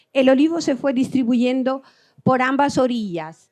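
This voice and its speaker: A woman speaks at a moderate pace in a high pitch. Her pitch varies in an ordinary way, against a quiet background. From Albania. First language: Albanian (speaking Spanish). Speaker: agricultural researcher. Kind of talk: lecture. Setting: conference hall with audience. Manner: halting.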